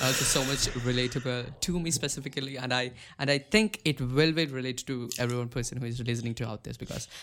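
With an Indian accent, a man at a medium pitch speaks at a fairly quick pace. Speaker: podcast host. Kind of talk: casual interview. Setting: video call.

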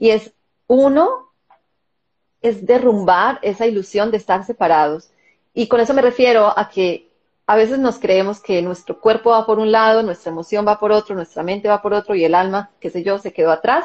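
At a moderate pace, a woman with a normal speaking voice talks in a fairly high pitch. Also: ordinary pitch variation. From Colombia. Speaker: wellness summit organizer. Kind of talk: live-stream interview.

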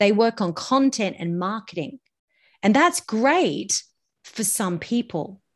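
A woman in an Australian accent, fairly high-pitched and very slow, with lively intonation against a quiet background. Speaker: voice and public speaking coach. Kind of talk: interview.

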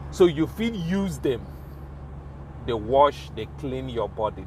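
Over noticeable background noise, a man talks in an animated tone at a fairly slow pace, his pitch swinging very widely. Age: 40s. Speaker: podcast host. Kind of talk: casual monologue in Pidgin and English. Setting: podcast recording. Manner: casual, conversational, animated.

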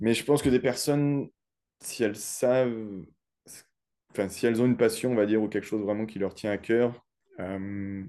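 A man's dark, mellow voice sits at a medium pitch with fairly even intonation, broken by long, frequent pauses. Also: moderate pace. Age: 30s. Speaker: insurance broker. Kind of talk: interview. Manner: hesitant, many fillers.

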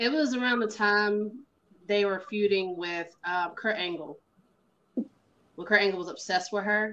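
With a Southern US accent, a woman speaks at a medium pitch and a fairly slow pace in a bright, sharp tone with ordinary pitch variation. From US South, Carolinas. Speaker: professional wrestler. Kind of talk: casual interview.

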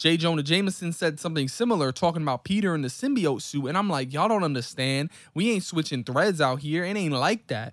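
A man's very fast, lively speech at a fairly high pitch, on a very clean recording with a silent background. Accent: American. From New York City. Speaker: gaming podcast co-host. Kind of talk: casual chat.

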